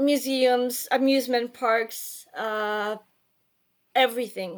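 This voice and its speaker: A woman with a Polish accent, high in pitch, at a very slow pace with fairly even intonation, on a very clean recording with a silent background. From Poland, Warsaw. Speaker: writer and journalist. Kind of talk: interview. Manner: hesitant, with fillers.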